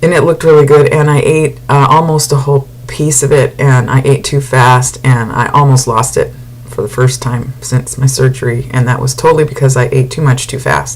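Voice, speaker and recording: A woman with a very deep, low voice speaks at a moderate pace in a flat monotone, with noticeable background noise behind her. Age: 60s. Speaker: vlogger sharing weight-loss surgery journey. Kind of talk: casual video diary. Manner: halting, many fillers.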